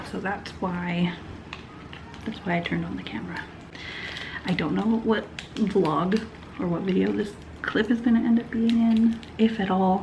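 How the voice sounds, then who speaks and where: A soft-spoken woman at a moderate pace, her voice medium-pitched with ordinary pitch variation and long, frequent pauses, with audible room echo and noticeable background noise. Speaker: knitting vlogger. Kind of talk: casual vlog chat. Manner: casual, hesitant with fillers.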